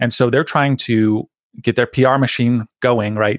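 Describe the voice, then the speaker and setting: At a fairly quick pace, a man speaks at medium pitch, with a dry, close sound with no echo on a very clean recording with a silent background. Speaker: privacy consultant and podcaster. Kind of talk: casual interview chat.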